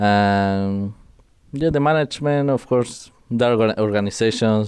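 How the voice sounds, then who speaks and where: In a Spanish accent, the voice has a dark, mellow tone and ordinary pitch variation. The pace is fairly slow, over a quiet background. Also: man. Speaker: esports pro player. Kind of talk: interview.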